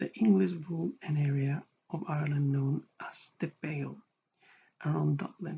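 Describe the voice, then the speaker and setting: The speaker is soft-spoken. The pace is moderate. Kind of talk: history reading, read aloud from a text.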